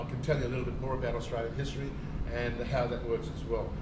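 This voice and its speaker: This man speaks at a medium pitch. There is audible room echo along with noticeable background noise. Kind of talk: cultural talk to tourist group. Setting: outdoors at a beach with audience. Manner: halting, many fillers.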